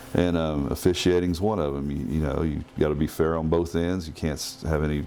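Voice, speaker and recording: A man with an American accent speaks at a very deep, low pitch and a fairly quick pace. His intonation stays fairly even over noticeable background noise. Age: 60s. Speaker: former basketball player and referee. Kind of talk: casual chat.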